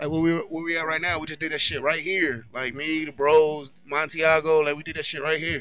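A man with a fairly high pitch talks at a fairly quick pace with hardly any pauses. His intonation is monotone and flat, set against noticeable background noise. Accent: American. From California. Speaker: rapper. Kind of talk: casual interview. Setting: studio grand opening.

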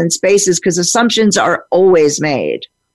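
Using an unremarkable speaking voice, a woman talks at a fairly quick pace with lively intonation. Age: 50s. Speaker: podcast host, sex coach and psychologist. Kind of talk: casual interview chat.

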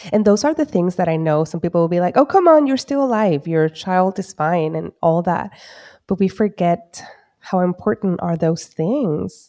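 Lively intonation from a woman with a fairly low pitch and a dark, mellow tone, captured on a very clean recording with a silent background. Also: moderate pace, dry, close sound with no echo. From Caribbean island. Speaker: psychologist podcast host. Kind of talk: casual interview.

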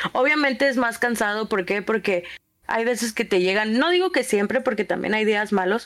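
With a northern Mexican accent and ordinary pitch variation, this voice comes through on a very clean recording against a silent background. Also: woman. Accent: northern Mexican (Monterrey). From Monterrey, northern Mexico. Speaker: streamer and preschool teacher. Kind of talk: casual chat.

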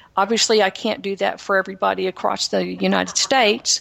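A woman with a slight Texan accent. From Texas, Houston. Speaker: author and speaker. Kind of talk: interview testimony. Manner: halting.

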